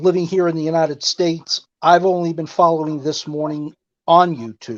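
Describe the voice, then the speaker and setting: A man talks at a fairly high pitch in a dry, close sound with no echo. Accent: New York. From New York, Long Island. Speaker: caller. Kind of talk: call-in chat.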